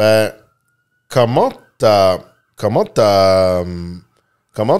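A quiet background behind a man's voice. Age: 30s. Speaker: podcast host. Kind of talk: casual interview. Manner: halting, many fillers. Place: studio. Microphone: studio mic.

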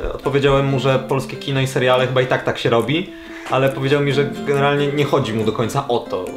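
The pace is very fast. Clear music plays in the background. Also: man. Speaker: improv actor. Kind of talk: casual talk to camera. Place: home room.

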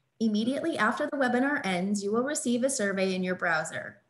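A woman talks at a fairly quick pace with lively intonation. Her voice is somewhat breathy. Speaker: webinar moderator. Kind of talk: webinar introduction. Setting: online webinar. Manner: formal. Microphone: webcam.

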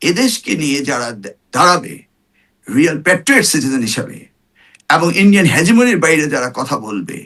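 A man speaks at a fairly high pitch with a bright, sharp tone. His pitch swings very widely. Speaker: politician, former member of parliament and education minister. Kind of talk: talk show interview.

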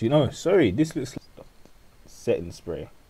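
A dark, mellow, somewhat breathy tone with very wide pitch swings. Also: man. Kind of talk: comedic makeup tutorial voiceover. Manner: casual, joking, rambling.

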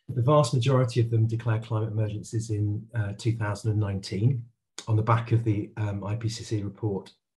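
Over light background noise, a man speaks at a moderate pace in a somewhat breathy voice with monotone, flat intonation. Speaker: local government climate official; council climate officer, panelist. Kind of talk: webinar presentation. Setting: video call. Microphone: video call.

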